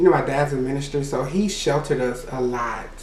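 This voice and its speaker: A man with a Louisiana accent speaks at a fairly high pitch. The room echo is audible, and there is noticeable background noise. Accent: Southern US (Louisiana). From Louisiana (Natchitoches). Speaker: YouTuber. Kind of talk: storytime monologue.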